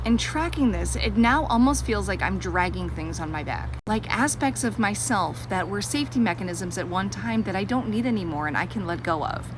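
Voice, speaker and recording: A woman talks fairly quickly, with hardly any pauses, against noticeable background noise. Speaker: social media creator. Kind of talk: personal vlog monologue. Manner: loud.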